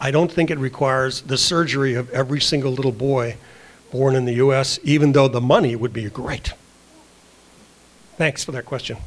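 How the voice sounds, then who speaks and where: Speaking at a fairly quick pace with long, frequent pauses, a man with an American accent holds a medium pitch and fairly even intonation. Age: 60s. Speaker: director of a medical advocacy group. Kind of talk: Q&A session answer.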